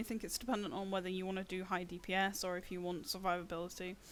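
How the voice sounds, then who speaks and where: At a very fast pace, a woman with a medium pitch speaks in a nervous tone. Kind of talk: game guide voiceover. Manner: nervous, some stuttering.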